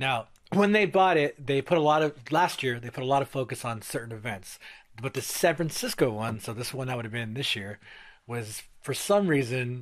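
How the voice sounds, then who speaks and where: With an American accent, a man uses a normal speaking voice at medium pitch, moving at a moderate pace with lively intonation. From Stockton, California. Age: 30s. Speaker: podcast host. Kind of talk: casual chat. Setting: recording in a garage.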